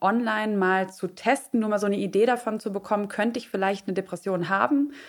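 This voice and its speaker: A woman's normal speaking voice at a fairly quick pace with ordinary pitch variation, in a very clean recording over a silent background. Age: 30s. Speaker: freelance journalist and podcaster. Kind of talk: casual chat.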